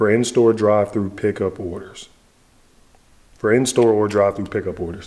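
A man's voice with a dark, mellow tone and fairly even intonation. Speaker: food reviewer. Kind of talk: casual vlog chat.

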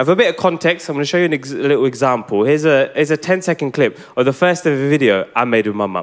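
A man speaks at a very fast pace with hardly any pauses and a fairly high pitch. The background is quiet. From England. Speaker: stand-up comedian. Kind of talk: live stand-up comedy set. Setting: theatre stage, live audience. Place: stage. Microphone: handheld.

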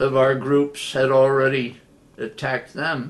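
The delivery is very slow. It comes from a man. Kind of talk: personal storytelling interview. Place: home room. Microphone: webcam.

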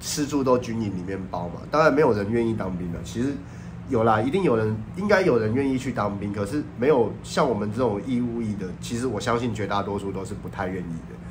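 The speech comes at a fairly quick pace with ordinary pitch variation, with audible room echo and noticeable background noise. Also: man, fairly low pitch for a man. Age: 30s. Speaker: YouTuber. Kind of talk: casual vlog monologue.

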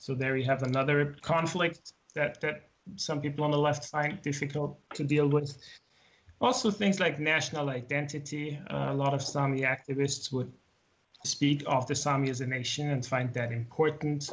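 Speaking with a German accent at a moderate pace, a man uses a fairly high, somewhat breathy voice with fairly even intonation. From Austria. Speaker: writer and translator. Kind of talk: interview.

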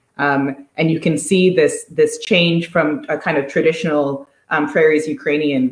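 This woman's voice sits very deep and low, with fairly even intonation at a fairly slow pace. Room echo is audible. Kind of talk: interview answer. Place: home room. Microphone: video call.

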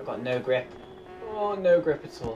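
Loud background noise surrounds a man's voice. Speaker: gamer. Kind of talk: gameplay commentary. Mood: lightly frustrated, joking. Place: home room.

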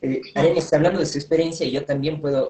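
A somewhat breathy male voice with fairly even intonation and audible room echo. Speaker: interviewer. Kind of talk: interview. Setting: Instagram live video call. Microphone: video call.

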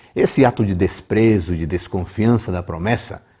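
The voice has a dark, mellow tone, is somewhat breathy and has ordinary pitch variation. It moves at a moderate pace against a quiet background. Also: man. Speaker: presenter. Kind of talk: devotional Bible commentary. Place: home room. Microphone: lapel.

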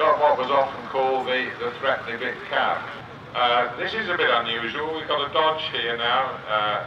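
Noticeable background noise sits behind a man speaking at a moderate pace, his pitch varying in an ordinary way. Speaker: arena commentator. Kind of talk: commentary. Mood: warm, enthusiastic. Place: open country.

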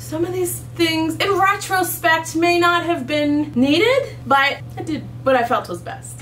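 A woman talks at a fairly slow pace. Music plays behind her. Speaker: mom vlogger. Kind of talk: casual vlog chat. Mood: self-mocking, slightly embarrassed. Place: home room.

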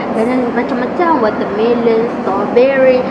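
A woman speaks at a fairly slow pace. Loud background noise is present. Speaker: food vlogger. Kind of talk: casual vlog chat. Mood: playful, cheerful. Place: cafe. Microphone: camera far.

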